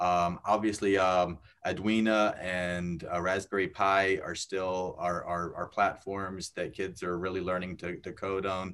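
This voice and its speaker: A man's very deep, low voice at a fairly slow pace with hardly any pauses, over a quiet background. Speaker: technology expert at an older-adults organization. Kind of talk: interview about technology. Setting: video call. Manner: hesitant, repeats words.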